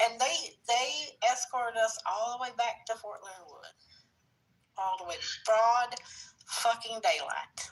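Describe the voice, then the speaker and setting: A woman speaks in a high voice with an animated tone. Her pace is fairly slow, with long, frequent pauses. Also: big swings in loudness. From Kentucky, rural. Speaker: military spouse, podcast panelist. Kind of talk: casual panel chat, telling a story.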